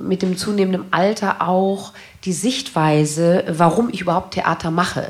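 A woman's medium pitch at a very slow pace, with ordinary pitch variation. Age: 40s. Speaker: stage actress. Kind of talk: interview on stage. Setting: stage with audience.

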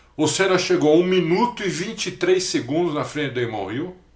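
A man talking at a fairly slow pace. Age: 50s. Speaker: motorsport podcast co-host. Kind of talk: casual chat.

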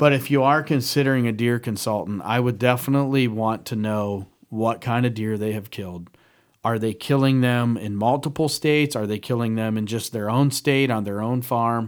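A man's unremarkable speaking voice, medium in pitch, at a moderate pace with fairly even intonation, in a very clean recording with a silent background. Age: 40s. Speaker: hunting podcast co-host, timber buyer. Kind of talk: casual chat. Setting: studio.

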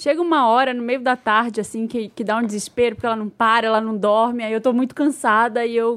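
On a very clean recording with a silent background, a woman speaks in a plain, everyday voice, fairly high in pitch with fairly even intonation. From Brazil, Belém. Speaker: podcast co-host. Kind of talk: casual chat.

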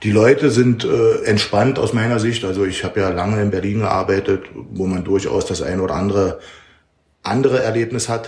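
A man's somewhat breathy voice, fairly low in pitch, moves at a moderate pace with fairly even intonation. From eastern Germany, Halle (Saale). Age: 50s. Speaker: football coach, former pro footballer. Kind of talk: casual interview. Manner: hesitant, with fillers and repetitions.

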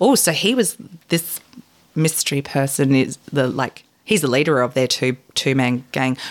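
A woman's very deep, low voice with an Australian accent, ordinary pitch variation, very even loudness and a moderate pace. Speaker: guest co-host. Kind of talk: casual chat.

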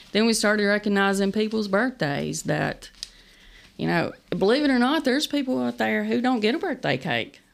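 A woman with an Appalachian accent at a moderate pace, her loudness very even. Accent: Appalachian Kentucky. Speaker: nonprofit founder. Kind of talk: interview. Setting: studio.

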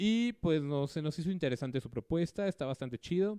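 Against a quiet background, a man with a dark, mellow tone speaks at a moderate pace in a dry, close sound with no echo. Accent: Mexican. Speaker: radio show host. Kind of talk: casual chat.

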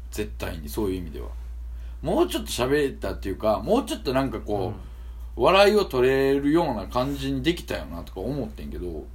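A man with a Kansai accent at a fairly quick pace, big swings in loudness and audible room echo. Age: 30s. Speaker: podcast co-host and rapper. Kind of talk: casual chat.

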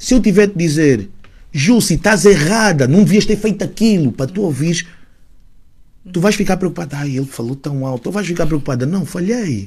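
Using lively intonation, a man speaks at a high pitch. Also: moderate pace. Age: 30s. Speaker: rapper. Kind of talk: casual chat. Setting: studio.

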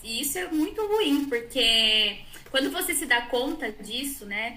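A high-pitched woman with lively intonation at a fairly slow pace, amid audible room echo. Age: 30s. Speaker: psychology student. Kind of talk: casual chat.

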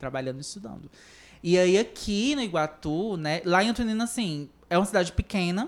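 In a very clean recording with a silent background, a plain, everyday voice moves at a moderate pace with lively intonation. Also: woman. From Ceará, Brazil (Centro-Sul, rural). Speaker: actress, singer and LGBT activist. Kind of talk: podcast interview.

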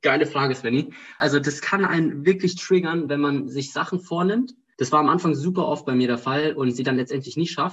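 At a fairly quick pace, a man talks in a normal speaking voice, fairly high in pitch, with ordinary pitch variation. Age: 20s. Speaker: student and startup founder. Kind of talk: casual interview.

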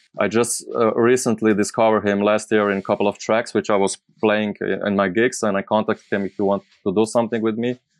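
Speaking with a Slovenian accent, a man with fairly low pitch talks at a fairly quick pace in a monotone, flat intonation. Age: 30s. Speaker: DJ, producer and label owner. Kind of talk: casual interview. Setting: live stream video call. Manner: halting.

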